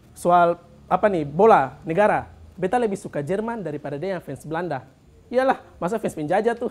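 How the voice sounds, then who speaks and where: A man with an Ambonese accent speaks in a high voice, his intonation lively. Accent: Ambonese Malay. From Ambon, Maluku; Maluku, Indonesia. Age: 20s. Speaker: stand-up comedian and church worker; stand-up comedian. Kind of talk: stand-up comedy set in Ambonese Malay, storytelling about church-kid student life. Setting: stage with live studio audience. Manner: punchline-driven, playfully self-mocking with local slang. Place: studio. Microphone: handheld.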